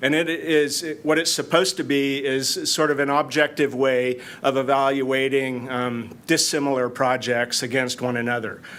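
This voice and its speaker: At a moderate pace with hardly any pauses, a man speaks at a medium pitch with fairly even intonation amid audible room echo. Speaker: city planning manager. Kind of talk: conference presentation. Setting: conference room with audience. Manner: loud.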